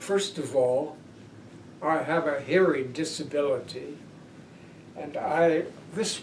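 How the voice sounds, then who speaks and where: There is audible room echo as a man with an American accent and fairly high pitch speaks at a very slow pace. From Pennsylvania. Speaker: peace advocate and social worker. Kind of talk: oral history interview.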